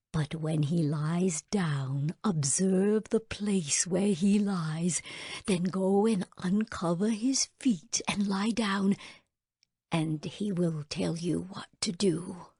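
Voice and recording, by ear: A put-on character voice with a dark, mellow tone and a slightly husky edge moves at a slow pace with ordinary pitch variation. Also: woman, fairly low pitch for a woman.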